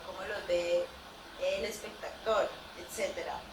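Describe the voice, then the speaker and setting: Audible room echo and noticeable background noise accompany the woman as she speaks. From Colombia, Puerto Tejada, Cauca (Afro-Colombian Pacific). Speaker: student, friend of the presenter. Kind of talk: spoken comment at a thesis defense. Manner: hesitant, many fillers.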